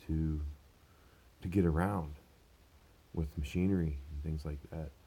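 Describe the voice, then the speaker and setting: A man speaks fairly slowly in a dark, mellow tone. His voice is somewhat breathy. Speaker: vlogger, manual worker. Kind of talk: casual vlog. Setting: at home. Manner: quieter than usual.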